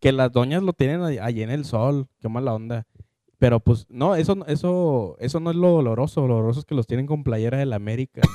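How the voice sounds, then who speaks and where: The voice has a dark, mellow tone. The sound is dry and close, with no echo. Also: man, medium pitch for a man, ordinary pitch variation, fairly quick pace. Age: 20s. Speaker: podcast co-host. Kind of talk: casual chat.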